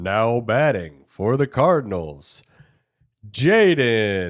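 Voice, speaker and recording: At a very slow pace, a man with a medium pitch performs a put-on character voice. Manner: announcing, formal and showy.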